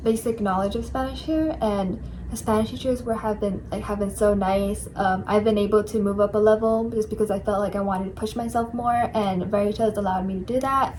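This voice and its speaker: A woman with an American accent and an unremarkable speaking voice talks at a moderate pace, her pitch fairly high with ordinary variation. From New York City. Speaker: study abroad student. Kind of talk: casual chat.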